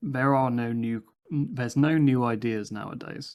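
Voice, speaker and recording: Intonation stays fairly even as the words come at a moderate pace. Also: man. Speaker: crypto project founder. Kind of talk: AMA interview answers. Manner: monotone.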